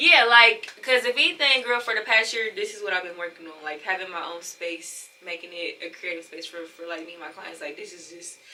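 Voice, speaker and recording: Lively intonation carries speech with hardly any pauses over noticeable background noise. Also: woman, medium pitch for a woman. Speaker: small business owner with clients. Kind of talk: casual chat.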